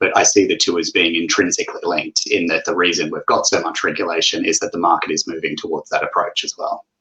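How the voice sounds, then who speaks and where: With an Australian accent, a man speaks at a very fast pace with hardly any pauses. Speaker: investment director. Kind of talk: panel discussion.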